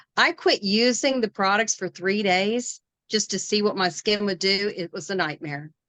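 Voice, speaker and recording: A woman with a West Virginia accent speaks at a moderate pace with ordinary pitch variation and a bright, sharp tone. The sound is dry and close with no echo, and the background is quiet. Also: medium pitch for a woman. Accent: West Virginia Appalachian. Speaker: direct sales consultant. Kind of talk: casual chat.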